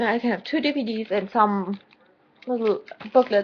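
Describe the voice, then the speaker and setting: This woman speaks with a German accent. Her intonation is lively. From Germany. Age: 20s. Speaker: vlogger. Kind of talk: personal video diary. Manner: halting.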